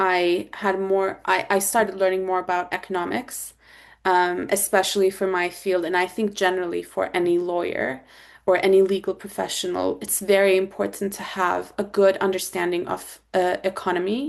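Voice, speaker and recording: With a Turkish accent, a woman talks at a medium pitch with fairly even intonation. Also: moderate pace. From Turkey. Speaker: corporate lawyer. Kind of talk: interview answer.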